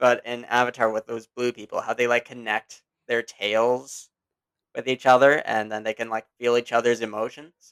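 A man at a moderate pace, flat and monotone, in a very clean recording with a silent background and a dry, close sound with no echo. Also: medium pitch for a man. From Saskatchewan, Canada. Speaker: actor and podcast host. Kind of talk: improvised comedy pitch chat.

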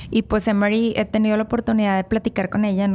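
Here a woman speaks at a medium pitch. Her tone is dark and mellow. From Mexico, Nuevo León (Guadalupe). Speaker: podcast host. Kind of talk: interview. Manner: animated.

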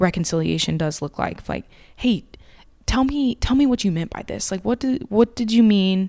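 Here a woman uses a normal speaking voice with lively intonation at a fairly quick pace. The recording is very clean, with a silent background. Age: 20s. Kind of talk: casual faith conversation. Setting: living room studio.

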